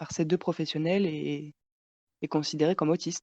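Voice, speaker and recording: A moderate pace and monotone, flat intonation in a dry, close sound with no echo. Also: woman. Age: 20s. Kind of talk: casual chat. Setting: podcast recording.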